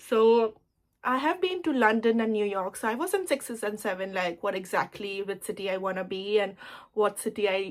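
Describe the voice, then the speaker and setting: A woman with an Indian accent, fairly high in pitch, with ordinary pitch variation at a moderate pace. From India (Surat, Gujarat). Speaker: lifestyle vlogger. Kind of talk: casual get-ready-with-me vlog chat. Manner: casual, chatty with fillers.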